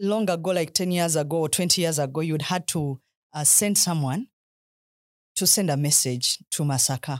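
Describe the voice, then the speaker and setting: A woman with a Ugandan accent, fairly low in pitch, at a moderate pace, her loudness very even, in a dry, close sound with no echo. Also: ordinary pitch variation. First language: Luganda. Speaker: government ministry permanent secretary. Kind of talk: interview.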